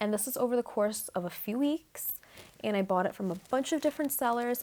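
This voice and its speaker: A soft-spoken woman with an American accent, fairly high in pitch, with very wide pitch swings and a fairly quick pace. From New Mexico, USA. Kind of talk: soft-spoken ASMR crystal collection show-and-tell to camera. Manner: soft-spoken, calming, friendly.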